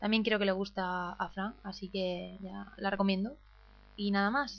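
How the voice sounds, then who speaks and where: Music plays behind a woman as her medium-pitched voice comes through. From Murcia, Spain. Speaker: listener sending voice mail. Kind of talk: recorded voice message.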